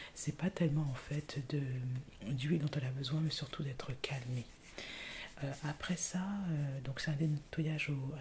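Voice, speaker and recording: A woman whispers softly at a moderate pace, her voice somewhat breathy. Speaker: ASMR YouTuber. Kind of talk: ASMR skincare routine, casual talk to camera. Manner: whispered, soft-spoken.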